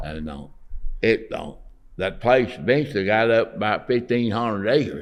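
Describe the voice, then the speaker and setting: A man with a Southern US accent, medium pitch, very wide pitch swings, big swings in loudness and vocal fry, at a moderate pace. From Alabama. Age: 80s+. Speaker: artist; Navy veteran. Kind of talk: interview answer.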